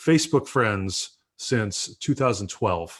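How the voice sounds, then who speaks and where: His pitch shifts in an ordinary way as the man talks. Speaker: pastor and livestream show host. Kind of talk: casual chat. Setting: livestream video call. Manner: loud.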